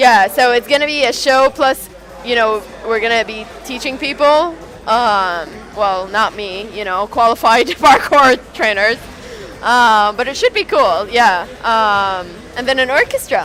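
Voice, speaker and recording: Music plays in the background as a woman talks at a fairly slow pace, her pitch fairly high with ordinary variation. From Saudi Arabia. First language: Arabic. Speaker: event organiser. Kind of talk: casual chat. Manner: hesitant, many fillers.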